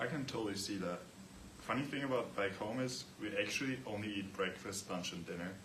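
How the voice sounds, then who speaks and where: A man speaks fairly quickly with an Austrian accent, his pitch fairly low and its variation ordinary. The room echoes audibly, and background noise is noticeable. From Austria, Vienna. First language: German. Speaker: student athlete. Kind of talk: class presentation.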